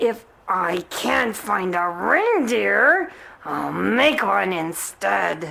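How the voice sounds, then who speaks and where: A woman uses a put-on character voice, raspy and growling, at a very slow pace. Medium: read story. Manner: snarling, sneering.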